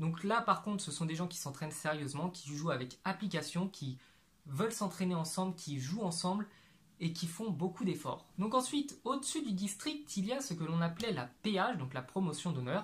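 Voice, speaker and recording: A man speaks at a high pitch. His intonation is lively. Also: moderate pace. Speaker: YouTuber, amateur footballer; YouTuber. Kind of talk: explainer video monologue; explainer vlog talk. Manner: casual, filler-heavy. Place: home room. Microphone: lapel.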